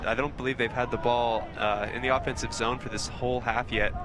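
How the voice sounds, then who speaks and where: A man with an American accent talks at a fairly quick pace and a medium pitch. His intonation is monotone and flat, with noticeable background noise. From Idaho. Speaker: sports commentator. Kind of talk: live commentary. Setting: outdoor sports field.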